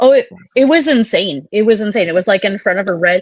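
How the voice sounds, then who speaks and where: Speaking at a fairly quick pace, a woman talks. She has a slight Wisconsin accent. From US Midwest, Wisconsin. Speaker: psychic medium. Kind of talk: interview.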